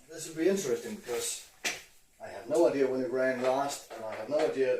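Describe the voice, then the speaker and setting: With a Danish accent, a man talks at a moderate pace and ordinary pitch variation amid audible room echo and noticeable background noise. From Denmark. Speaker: motorcycle hobbyist YouTuber. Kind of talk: casual DIY video narration. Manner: halting, with fillers.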